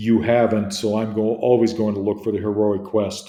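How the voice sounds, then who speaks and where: With audible room echo, a man speaks at a fairly slow pace in a dark, mellow tone, his medium pitch held to fairly even intonation. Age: 60s. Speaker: literature teacher. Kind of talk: lecture. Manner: hesitant, with frequent fillers.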